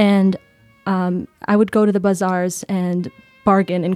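A woman speaks at a medium pitch in an American accent. The sound is dry and close with no echo, and music plays in the background. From New York City. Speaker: former exchange student. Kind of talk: interview storytelling.

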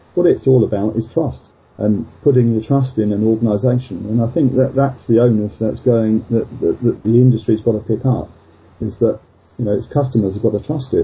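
A man speaks at a fairly quick pace and medium pitch. His voice is somewhat breathy, with fairly even intonation. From England, Luton in Bedfordshire. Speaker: insurance trade association chairman. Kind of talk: casual interview. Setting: Skype call.

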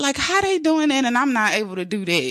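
Bright and sharp in tone, a woman speaks in a raised, projected voice with an animated delivery, recorded dry and close with no echo. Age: 30s. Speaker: podcast host. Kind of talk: motivational monologue.

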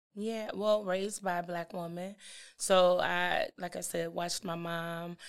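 In a very clean recording with a silent background, a woman with a normal speaking voice talks at a fairly slow pace, her pitch fairly low and her intonation fairly even. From East St. Louis, Illinois / Milwaukee. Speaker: university student support administrator. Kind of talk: interview, personal storytelling.

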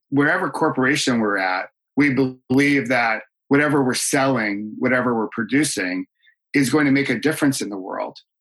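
An ordinary speaking voice, this man talks at a medium pitch and moderate pace with an American accent and ordinary pitch variation. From upstate New York. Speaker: leadership coach and speaker. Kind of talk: casual chat.

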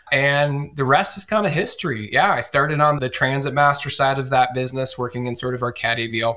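Ordinary pitch variation runs through a man's bright, sharp tone. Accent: Midwestern American. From US Midwest, northeast Iowa. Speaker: company executive. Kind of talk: interview.

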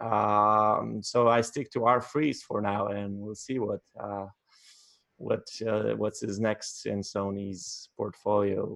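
At a very slow pace, a man with a fairly low pitch speaks with fairly even intonation. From Poland, Warsaw. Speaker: wedding photographer. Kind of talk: interview.

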